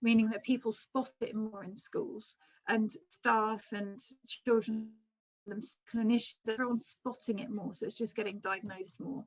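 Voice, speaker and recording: A woman speaks in a fairly high, somewhat breathy voice with ordinary pitch variation. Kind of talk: lecture. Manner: fast; hesitant, many ums.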